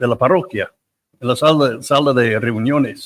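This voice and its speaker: The voice carries an English accent and moves at a fairly slow pace. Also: man, dry, close sound with no echo. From United States. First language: English (speaking Spanish). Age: 70s. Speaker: priest. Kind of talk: interview storytelling. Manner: halting, with many repetitions.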